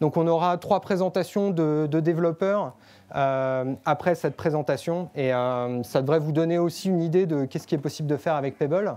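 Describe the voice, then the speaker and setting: Speaking at a moderate pace, a man has a fairly high pitch, a dark, mellow tone and ordinary pitch variation. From France. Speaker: developer relations speaker. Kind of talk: tech meetup presentation. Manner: hesitant, many filler pauses.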